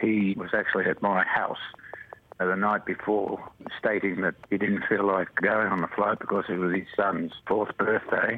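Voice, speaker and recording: A man speaks at a moderate pace in a fairly low pitch, his intonation monotone and flat, with noticeable background noise behind him. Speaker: former flight purser. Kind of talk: interview recollection. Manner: emotional, slightly shaky at times.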